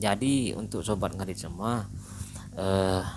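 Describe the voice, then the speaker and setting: With a Madurese accent, a man speaks at a fairly low pitch and with fairly even intonation. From Madura, Indonesia. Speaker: livestock channel host. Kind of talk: casual vlog talk. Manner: casual, conversational with fillers.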